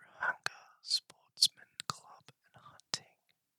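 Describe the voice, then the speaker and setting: In an Australian accent, a man whispers breathily at a very slow pace, with a dry, close sound that has no echo. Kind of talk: ASMR video game map walkthrough. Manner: whispered, breathy; slow, soft-spoken.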